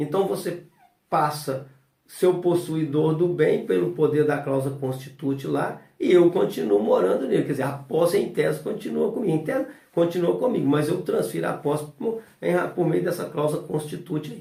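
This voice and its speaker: An ordinary speaking voice, a man's, fairly high in pitch, at a moderate pace with lively intonation. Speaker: notary and law teacher. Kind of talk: lecture. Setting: recorded at home. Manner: casual, filler-heavy.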